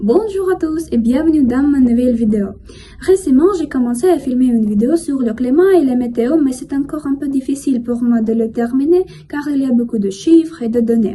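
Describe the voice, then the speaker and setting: Someone with a Russian accent speaks at a moderate pace with lively intonation over noticeable background noise. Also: woman, high pitch for a woman. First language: Russian (speaking French). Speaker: language learner vlogger. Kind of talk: casual monologue vlog. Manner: careful, learner-paced.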